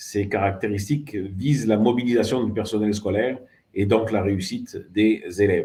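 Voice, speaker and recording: A man's fairly low, dark, mellow and somewhat breathy voice with a southern French accent. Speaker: education ministry official. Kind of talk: formal closing speech. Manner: formal, with frequent hesitations.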